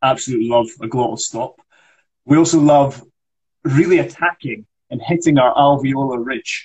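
With a Scottish accent, a man with a fairly high pitch and a somewhat breathy voice speaks at a moderate pace, with ordinary pitch variation and long, frequent pauses. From Scotland. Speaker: actor and accent coach. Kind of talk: accent tutorial on a livestream. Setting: Instagram Live video call.

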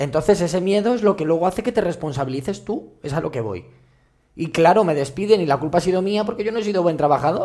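Lively intonation runs through a man's very fast speech. His pitch is high and his tone dark and mellow. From Madrid. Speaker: activist and social worker. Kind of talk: casual chat.

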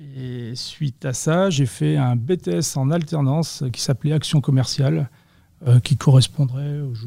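A man talks at a fairly slow pace with ordinary pitch variation. He has an ordinary speaking voice at a medium pitch. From western France, Vendée. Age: 40s. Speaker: sales and customer service professional. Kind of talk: interview.

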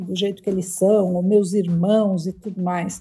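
A woman talks fairly slowly, her dark, mellow voice carrying some breathiness. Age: 50s. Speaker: career columnist and business executive. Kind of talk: casual chat.

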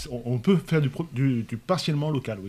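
This man talks at a fairly slow pace with a somewhat breathy voice, medium pitch and ordinary pitch variation. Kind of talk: casual panel discussion. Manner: halting, many repeated words.

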